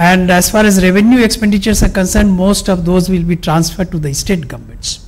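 A man with a high pitch speaks at a very fast pace with fairly even intonation. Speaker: economist. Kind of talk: economic analysis presentation.

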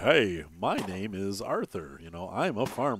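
Putting on a character voice, a man delivers lively intonation at a fairly slow pace and a fairly low pitch. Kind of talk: plain, educated, not country.

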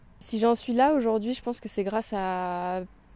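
This woman's voice has a dark, mellow tone and fairly even intonation. The sound is dry with no echo. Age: 20s. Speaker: athlete; interviewee. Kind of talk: interview; interview answer. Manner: hesitant. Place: stadium. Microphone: handheld.

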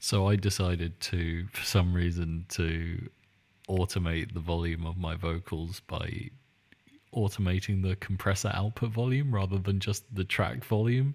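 At a moderate pace, a man with a British accent speaks in a very deep, low voice with ordinary pitch variation. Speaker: podcast host and music producer. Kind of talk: casual chat. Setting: video call. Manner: quieter than usual.

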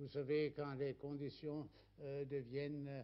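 A man talks at a fairly high pitch. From Germany. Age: 80s+. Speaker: writer. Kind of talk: interview answer. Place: home room.

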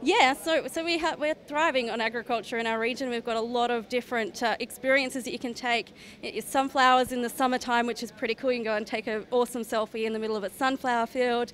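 A woman with an Australian accent, high-pitched, at a very fast pace with hardly any pauses, over light background noise. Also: fairly even intonation. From Queensland, Australia (Toowoomba); Queensland, Australia. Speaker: regional tourism promoter. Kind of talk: interview at trade show. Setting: trade show floor. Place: hall. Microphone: handheld.

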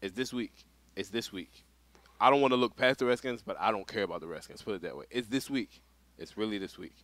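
Very fast, with big swings in loudness and ordinary pitch variation, a man speaks. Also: dry sound with no echo. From Philadelphia, US. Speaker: veteran competitive gamer; podcast co-host. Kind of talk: casual chat. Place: studio. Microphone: headset.

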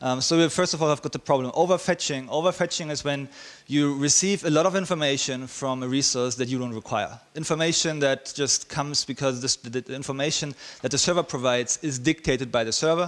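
A man talks very quickly, his pitch moving up and down in the usual way. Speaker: conference speaker. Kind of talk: technical talk. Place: hall. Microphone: headset.

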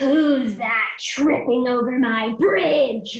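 A woman puts on a gruff character voice at a high pitch. She speaks at a very slow pace. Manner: roaring, gruff.

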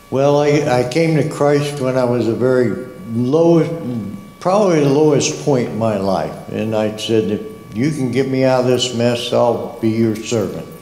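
The speaker talks at a fairly slow pace with lively intonation, and room echo is audible. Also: man. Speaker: Sunday school teacher. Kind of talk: testimony. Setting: church. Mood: earnest, reflective. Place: church. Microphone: handheld.

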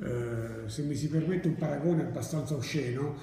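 A man speaks at a moderate pace with ordinary pitch variation. Audible room echo and light background noise surround him. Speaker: university lecturer. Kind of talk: lecture. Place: classroom.

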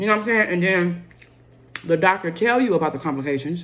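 A woman talks at a very fast pace with ordinary pitch variation. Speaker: vlogger. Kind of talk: casual mukbang chat. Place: home room. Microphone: phone near.

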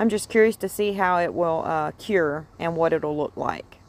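Her pitch sits fairly low, with ordinary variation, and she keeps a moderate pace. The woman's recording is dry, with no echo. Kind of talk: tutorial. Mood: relaxed, cheerful, laughing. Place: garden. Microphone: phone near.

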